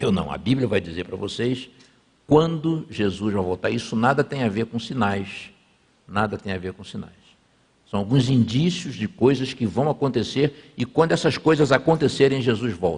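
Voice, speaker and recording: With lively intonation, a man speaks in a somewhat breathy voice. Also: medium pitch for a man, moderate pace. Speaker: pastor. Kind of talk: sermon. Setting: church. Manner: conversational.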